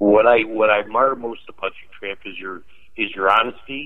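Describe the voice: Fairly low pitch from a man, with ordinary pitch variation at a moderate pace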